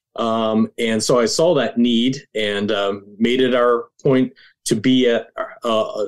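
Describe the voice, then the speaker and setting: In a very clean recording with a silent background, a man speaks at medium pitch, very slowly, with fairly even intonation. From rural Nova Scotia, Canada. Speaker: ministry leader, guest. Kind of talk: interview, conversational.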